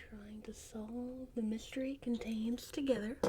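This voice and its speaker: A woman talks in a high voice at an even, moderate speed, with background noise clearly present. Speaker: ASMR reader and host. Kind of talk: casual chatty commentary to camera, book club host.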